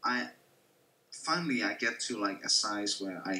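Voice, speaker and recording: There is light background noise. A man talks, his pitch varying in an ordinary way. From Denmark. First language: Danish. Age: 20s. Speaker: gamer; streamer. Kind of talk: casual chat. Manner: animated. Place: home room. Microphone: webcam.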